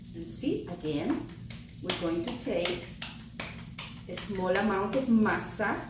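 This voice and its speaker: A woman speaks at a very slow pace with a medium pitch, a warm tone and very wide pitch swings. Long pauses come often, and there is noticeable background noise. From El Salvador. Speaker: cookbook author. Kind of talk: cooking tutorial. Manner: warm, encouraging.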